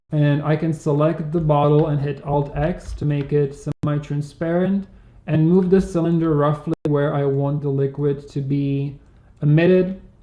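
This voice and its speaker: In a very deep, low voice, a woman speaks with monotone, flat intonation. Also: moderate pace. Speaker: 3D software instructor. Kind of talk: tutorial. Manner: frequent filler 'um'.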